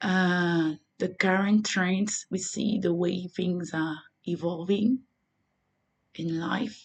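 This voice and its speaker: A woman's medium-pitched voice in a French accent, very slow, with long, frequent pauses and fairly even intonation. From Côte d'Ivoire. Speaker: religious vlogger. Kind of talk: vlog monologue. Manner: halting.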